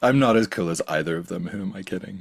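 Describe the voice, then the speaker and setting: A man speaks in an Irish accent. His pace is moderate. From Ireland, small coastal town. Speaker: podcast host and science communicator. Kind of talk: casual interview chat.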